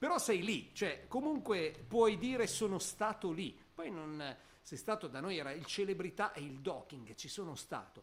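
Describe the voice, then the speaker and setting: A man speaks in a high pitch at a moderate pace. His pitch swings very widely. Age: 50s. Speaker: podcast co-host. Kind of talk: casual chat.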